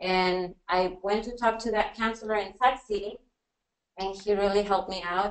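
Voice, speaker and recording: A woman speaks in a Spanish accent. Her pitch is medium and her pace moderate. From Mexico (Jalisco). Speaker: teacher. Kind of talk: personal testimony on a panel. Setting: university workshop with audience, webinar.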